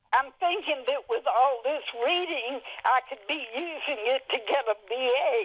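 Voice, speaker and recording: The speech comes at a fairly slow pace with ordinary pitch variation over noticeable background noise. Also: woman, high pitch for a woman. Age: 80s+. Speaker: writer. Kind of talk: interview answer. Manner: feisty, lively.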